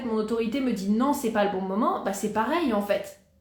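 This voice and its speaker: At a fairly quick pace, a woman talks at a fairly high pitch with ordinary pitch variation. Audible room echo and noticeable background noise surround her. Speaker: Human Design coach. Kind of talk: live talk to viewers. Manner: casual, hesitant with fillers.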